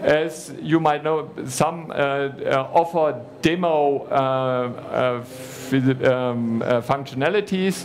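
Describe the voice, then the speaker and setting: Over noticeable background noise and audible room echo, a man talks at a very slow pace with a fairly high pitch and ordinary pitch variation. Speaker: conference speaker on cloud services. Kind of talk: conference presentation. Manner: halting, many fillers.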